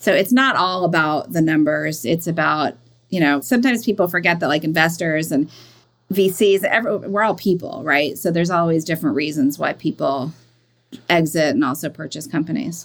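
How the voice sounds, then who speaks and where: A woman's fairly low-pitched, normal speaking voice at a fairly quick pace, with lively intonation. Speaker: business coach and founder. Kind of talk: interview conversation. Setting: video call.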